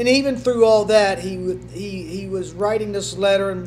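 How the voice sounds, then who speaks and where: A man talks at a moderate speed. Behind him, music is playing. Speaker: pastor. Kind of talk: sermon. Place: church. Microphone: podium.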